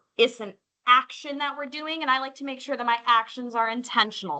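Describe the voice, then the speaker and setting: In an American accent, a woman with a high pitch uses a raised, projected voice, a bright, sharp tone and an animated delivery at a moderate pace. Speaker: school parent workshop presenter. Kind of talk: parent workshop presentation.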